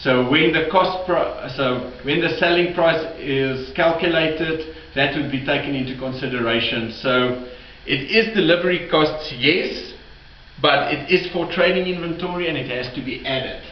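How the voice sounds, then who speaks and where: The pitch varies in an ordinary way at a moderate pace. Room echo is audible, and there is noticeable background noise. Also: man, fairly high pitch for a man. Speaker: bookkeeping tutor. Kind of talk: tutorial. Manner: halting, self-correcting.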